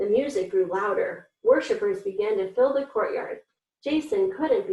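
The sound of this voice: This is an unforced reading voice over a quiet background.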